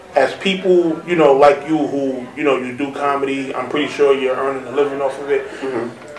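A man's fairly high voice carries through audible room echo and noticeable background noise. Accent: New York. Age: 30s. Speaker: podcast host. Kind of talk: casual chat.

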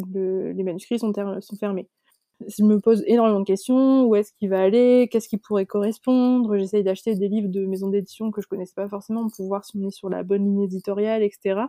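In a dry, close sound with no echo, a woman of medium pitch speaks at a fairly quick pace in a dark, mellow tone with monotone, flat intonation. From northern France, Côte d'Opale. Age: 20s. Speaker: novelist. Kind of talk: casual chat.

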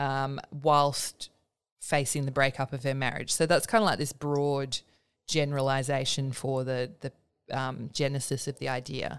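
Her very deep, low voice stays monotone and flat at a moderate pace, and this woman is heard on a very clean recording with a silent background. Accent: Australian. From Perth, Western Australia. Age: 30s. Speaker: writer. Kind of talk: interview.

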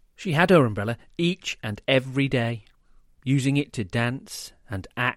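Someone reads aloud in a natural voice.

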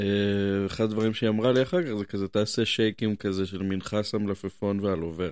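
With a fairly low pitch, a man speaks at a moderate pace. He hardly pauses. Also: fairly even intonation. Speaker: podcast host. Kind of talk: casual chat.

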